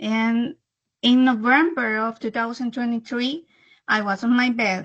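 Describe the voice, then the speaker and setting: The speaker has a Spanish accent. The intonation stays fairly even. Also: woman. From El Salvador. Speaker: disease survivor. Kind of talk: testimony. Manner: halting.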